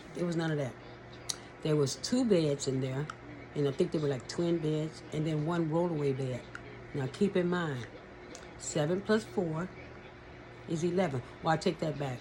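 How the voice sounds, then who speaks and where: With noticeable background noise behind her, a woman with an American accent speaks at a moderate pace in a fairly low pitch, pausing long and often. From California. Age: 60s. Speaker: abuse survivor sharing her story. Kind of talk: personal testimony. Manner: halting, self-correcting.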